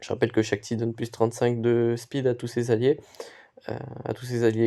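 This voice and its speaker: Speaking at a moderate pace, the man has a medium pitch and a dark, mellow tone. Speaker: gaming youtuber. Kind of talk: live gameplay commentary. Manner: halting, with pauses and stumbles.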